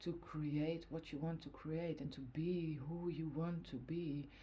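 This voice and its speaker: In a Dutch accent, a woman speaks fairly slowly in a very deep, low voice that is somewhat breathy, dark and mellow, with monotone, flat intonation and audible room echo. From Netherlands. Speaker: tarot card reader. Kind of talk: tarot reading. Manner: halting, many fillers.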